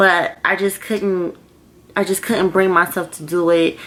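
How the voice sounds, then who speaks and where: At a moderate pace, a woman talks at medium pitch in an unremarkable speaking voice. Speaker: vlogger and grad student. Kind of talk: casual vlog monologue.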